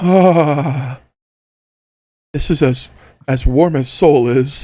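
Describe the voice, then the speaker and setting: In a put-on character voice, a man talks at a very slow pace with a fairly high pitch. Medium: actual play.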